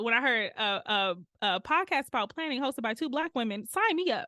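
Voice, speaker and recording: A woman's lively intonation with a Detroit accent. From Detroit, US Midwest. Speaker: urban planner. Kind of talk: podcast interview. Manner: fast; casual, animated.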